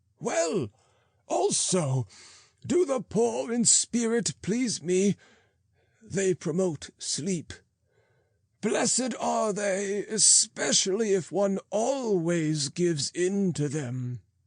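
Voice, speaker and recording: A man's put-on character voice, high-pitched, at a very slow pace with long, frequent pauses. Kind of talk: archaic sermon reading. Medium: read story. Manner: slow, soothing, sententious.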